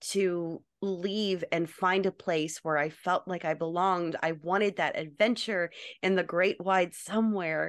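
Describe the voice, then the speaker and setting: With an American accent and a normal speaking voice, a woman talks at a fairly slow pace and medium pitch with fairly even intonation against a quiet background. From North Carolina. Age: 30s. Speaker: actress and cosplayer. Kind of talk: casual chat.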